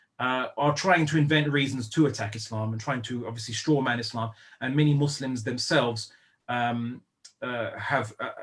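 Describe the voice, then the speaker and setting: A man with a British accent at medium pitch, moderate pace and fairly even intonation. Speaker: Islamic lecturer. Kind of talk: online lecture. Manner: hesitant, many fillers and restarts.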